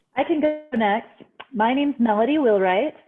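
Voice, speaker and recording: With a Utah accent, a woman speaks using ordinary pitch variation. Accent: Utah American English. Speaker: software engineering manager. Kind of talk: panel discussion.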